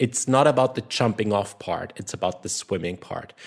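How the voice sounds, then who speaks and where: A man speaks with a German accent and ordinary pitch variation. The recording is very clean, with a silent background. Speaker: social skills coach. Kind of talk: casual podcast discussion.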